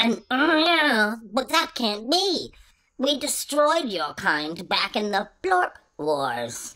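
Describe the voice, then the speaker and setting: A put-on character voice moves at a very slow pace, with very wide pitch swings and long, frequent pauses. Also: female-sounding voice, fairly high pitch for a woman. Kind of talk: comic villain. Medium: audio drama. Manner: gloating, greedy, savoring.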